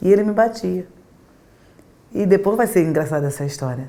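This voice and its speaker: Lively intonation moves through a dark, mellow tone. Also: woman. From Brazil, Rio Grande do Norte (Natal), moved to Rio at nine. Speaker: pastor. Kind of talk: interview testimony.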